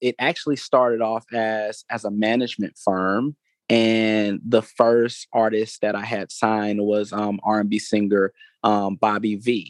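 The voice moves at a fairly slow pace in a monotone, flat intonation. The sound is dry and close with no echo, over a quiet background. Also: man, fairly low pitch for a man. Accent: Atlanta. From US South, Atlanta, Georgia. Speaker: music entrepreneur and foundation founder. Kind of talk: interview. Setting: studio. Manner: halting, many repetitions and fillers.

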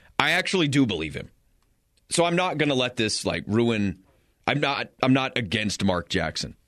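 Over a quiet background, a man speaks at a medium pitch with vocal fry. His pitch swings very widely. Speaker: radio sports talk host. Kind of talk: live radio sports talk, casual banter. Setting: radio studio. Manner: animated, rapid, conversational, with stumbles and repeats.

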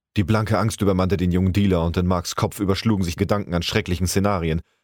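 A man speaks very fast in a very deep, low voice, recorded very cleanly against a silent background. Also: very even loudness. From Hamburg, northern Germany. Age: 30s. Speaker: amateur voice actor. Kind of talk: reading aloud.

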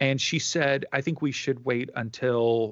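A man in a normal speaking voice, fairly slow pace and fairly even intonation, quiet background. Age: 40s. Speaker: life coach and former pastor. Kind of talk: interview.

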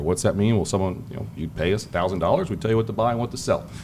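The man has an American accent and a fairly low pitch. Noticeable background noise can be heard. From Ohio, US Midwest. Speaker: financial market strategist. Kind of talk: interview conversation. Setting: hotel event venue.

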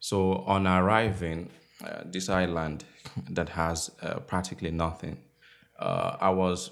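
A man speaks at a very deep, low pitch. His intonation stays fairly even. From southwestern Nigeria, Igbo family. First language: Igbo and Yoruba alongside English. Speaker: novelist. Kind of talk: interview. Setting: writers' workshop. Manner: hesitant, many fillers.

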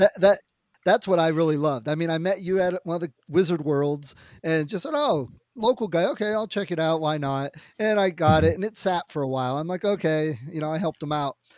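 At a fairly quick pace, a man with a high pitch talks with ordinary pitch variation in a dry, close sound with no echo. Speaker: podcast co-host. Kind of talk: casual podcast chat. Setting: remote call. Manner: loud.

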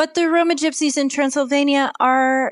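A woman speaking at a very slow pace, with a dry, close sound, no echo and a quiet background. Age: 20s. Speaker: artist and charity volunteer. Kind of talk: interview.

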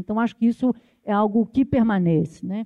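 This woman has an unremarkable speaking voice with a fairly high pitch. She talks at a fairly quick pace. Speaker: university professor. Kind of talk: panel debate.

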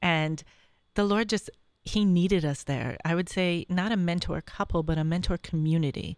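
On a very clean recording with a silent background, a woman with an American accent uses an ordinary speaking voice at a fairly low pitch, keeping a moderate pace, fairly even intonation, and very even loudness. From Syracuse, New York. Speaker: mother of a large family. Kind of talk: interview, personal testimony. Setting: studio.

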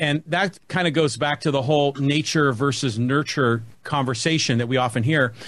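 In a Californian accent, a man speaks at a moderate pace and fairly high pitch, with hardly any pauses, very even loudness and ordinary pitch variation. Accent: General American (Californian). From US West Coast, San Francisco Bay Area. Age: 50s. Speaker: podcast host and marketing business owner. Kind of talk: casual chat.

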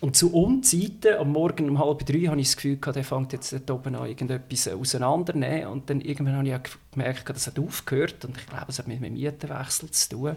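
This man talks very fast with hardly any pauses, his fairly high voice showing ordinary pitch variation. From Switzerland, canton of Schwyz (upper Lake Zurich). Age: 30s. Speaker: podcast guest, city resident. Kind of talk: casual chat. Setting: home, at a living-room table.

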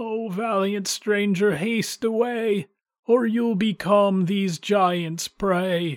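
A put-on character voice, pitched fairly high, moves at a very slow pace. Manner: mournful warning.

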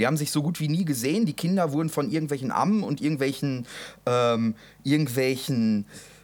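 A normal speaking voice moves at a fairly quick pace with lively intonation. The recording is very clean, with a silent background. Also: man. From Westphalia, Germany. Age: 20s. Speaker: podcast co-host. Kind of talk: casual chat.

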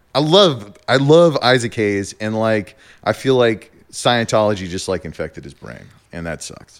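With an American accent, a man with a normal speaking voice and medium pitch uses lively intonation and big swings in loudness. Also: moderate pace. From US Southwest, New Mexico. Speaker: podcast guest. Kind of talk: casual chat.

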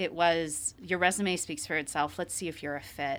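Fairly quick speech in a Midwestern US accent, with ordinary pitch variation, comes through on a very clean recording with a silent background. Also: woman. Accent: US Midwest. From Ohio, around Columbus. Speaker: managing director at an accounting firm. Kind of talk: interview.

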